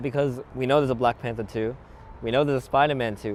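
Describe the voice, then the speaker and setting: With an Australian accent, a man speaks at a medium pitch with ordinary pitch variation over noticeable background noise. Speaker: YouTuber, movie commentator. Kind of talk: casual movie commentary to camera. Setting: outdoors.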